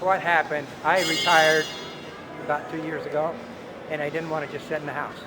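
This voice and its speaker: Over background music and audible room echo, a man with an American accent speaks at a fairly quick pace and fairly high pitch, monotone and flat, with long, frequent pauses. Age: 70s. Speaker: retired volunteer builder. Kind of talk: casual interview.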